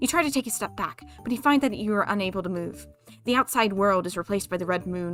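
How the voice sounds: What comes through is a natural reading voice.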